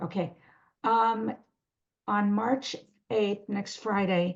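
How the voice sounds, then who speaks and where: The woman's voice carries some breathiness. Her pitch varies in an ordinary way. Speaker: webinar host for a Parkinson's support group. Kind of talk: announcements at end of webinar. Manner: halting, many fillers and self-corrections.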